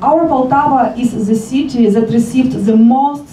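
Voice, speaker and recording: Amid noticeable background noise and audible room echo, a woman speaks at a moderate pace with ordinary pitch variation. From Ukraine. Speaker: local politician. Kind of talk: formal speech.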